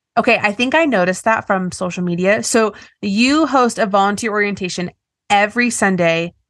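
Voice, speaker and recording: A woman talks at a fairly quick pace in a plain, everyday voice, her loudness very even and her pitch variation ordinary. The background is quiet. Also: medium pitch for a woman. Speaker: podcast host. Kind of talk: casual interview conversation.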